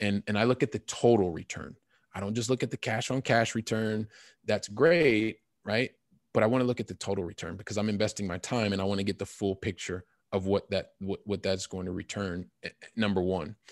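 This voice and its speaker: A man with an American accent at a fairly quick pace, ordinary pitch variation, dry and close with no echo, on a very clean recording with a silent background. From US Midwest, Columbus, Ohio. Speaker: real estate investor. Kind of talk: interview. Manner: halting, with many fillers.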